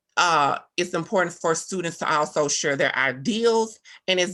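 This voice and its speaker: A woman with a Southern US accent, fairly low in pitch, bright and sharp in tone, with lively intonation at a fairly slow pace. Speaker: teacher. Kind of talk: presentation. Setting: video call.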